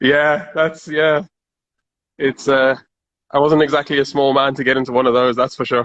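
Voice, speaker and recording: Speaking with a South African accent, a man has a fairly high pitch and monotone, flat intonation. He takes long, frequent pauses. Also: moderate pace. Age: 30s. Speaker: car enthusiast. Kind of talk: casual chat.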